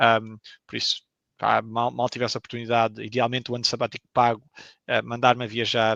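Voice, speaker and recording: A man talks at a moderate pace and medium pitch. The sound is dry and close, with no echo. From Portugal. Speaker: video game professional. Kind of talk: interview. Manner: hesitant, many fillers.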